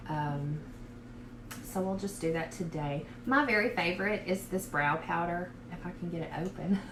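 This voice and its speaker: A woman with a strong Southern US accent talks at a moderate pace in a fairly low pitch, with ordinary pitch variation. There is noticeable background noise and audible room echo. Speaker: beauty vlogger. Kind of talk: casual makeup tutorial livestream. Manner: casual, many fillers.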